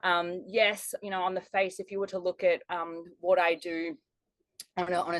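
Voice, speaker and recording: A woman with a strong Australian accent, fairly low-pitched and fairly even in intonation, at a moderate pace, in a dry, close sound with no echo. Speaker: life strategist and business mentor. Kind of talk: podcast interview.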